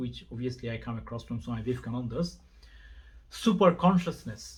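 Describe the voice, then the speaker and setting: Somewhat breathy, a man with a non-native accent talks at a medium pitch with ordinary pitch variation. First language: not English. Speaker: religion vlogger. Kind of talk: monologue to camera, video response. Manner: halting.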